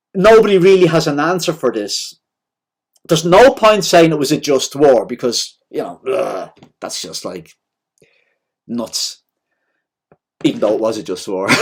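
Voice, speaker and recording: Loud and at a moderate pace, a man speaks with vocal fry at a fairly high pitch, swinging very widely in pitch and leaving long, frequent pauses. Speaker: devotional speaker. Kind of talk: informal talk on scripture. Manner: casual, conversational.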